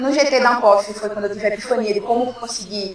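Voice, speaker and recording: Amid noticeable background noise and audible room echo, a woman speaks very fast in a fairly high voice. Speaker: philosophy researcher. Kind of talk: academic talk. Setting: workshop with audience. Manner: casual, joking.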